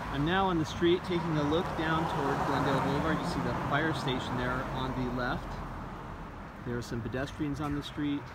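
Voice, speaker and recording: Loud background noise sits behind a dry sound with no echo. The speech moves at a fairly quick pace. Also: man. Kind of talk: casual commentary. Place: street. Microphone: phone near.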